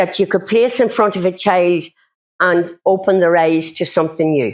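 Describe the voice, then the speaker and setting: A woman speaks with a Northern Irish accent. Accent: South Armagh Irish. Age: 60s. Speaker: speaker on local literary heritage. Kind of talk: public talk.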